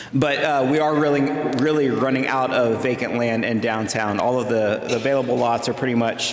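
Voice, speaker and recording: A man's medium-pitched voice at a fairly quick pace, with very even loudness, fairly even intonation, audible room echo and noticeable background noise. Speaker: city manager. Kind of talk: public talk to event audience. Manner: soft-spoken.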